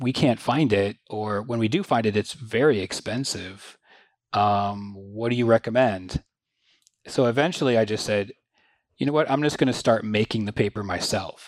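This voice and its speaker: An unremarkable speaking voice from a man, medium in pitch with ordinary pitch variation, with an American accent, on a very clean recording with a silent background. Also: moderate pace. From mid-Michigan, US. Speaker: design professor. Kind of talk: interview conversation.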